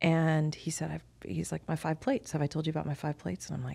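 Speaking at a very fast pace, a woman with an American accent comes through on a very clean recording against a silent background. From US, Miami, Florida. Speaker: business executive and lawyer. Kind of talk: interview.

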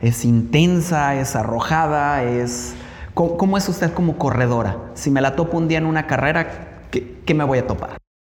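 Somewhat breathy and fairly high-pitched, a man talks at a moderate pace with ordinary pitch variation and very even loudness. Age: 40s. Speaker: podcast host and runner. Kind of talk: interview.

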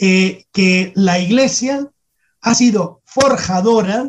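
A high-pitched man with lively intonation and a very slow pace. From Spain, Salamanca. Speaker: history professor. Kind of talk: radio interview. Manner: halting.

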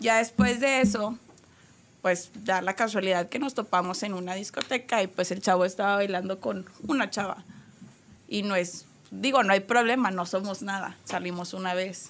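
At a moderate pace, a woman uses an ordinary speaking voice with medium pitch and ordinary pitch variation. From Monterrey, Mexico. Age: 20s. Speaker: restaurant manager. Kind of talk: casual chat. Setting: studio.

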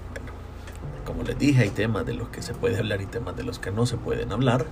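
A man's voice in a Salvadoran accent, with audible room echo and music in the background. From El Salvador, San Salvador. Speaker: podcaster. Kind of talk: solo monologue. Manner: halting.

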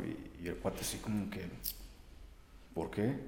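In a room with audible echo, a man speaks fairly slowly at a fairly low pitch. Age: 30s. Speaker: traveler, photographer and English teacher. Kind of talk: interview.

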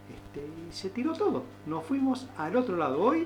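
There is noticeable background noise and audible room echo. A man is speaking. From Misiones, then Bariloche, Argentina. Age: 60s. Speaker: rowing club coach. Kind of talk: radio interview.

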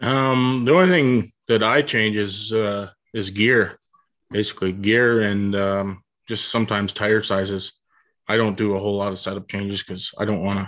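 The speaker has a plain, everyday voice with fairly even intonation. The pace is moderate, and the background is quiet. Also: man, fairly low pitch for a man. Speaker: race car driver. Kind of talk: casual interview chat.

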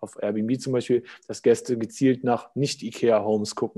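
This man's dark, mellow tone holds a monotone, flat intonation as he talks at a moderate pace. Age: 20s. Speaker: startup co-founder. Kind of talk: casual interview. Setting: video call.

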